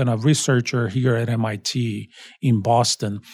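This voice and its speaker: With a Portuguese accent, a man speaks at a medium pitch and a fairly slow pace. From Brazil. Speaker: college dean and professor. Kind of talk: interview.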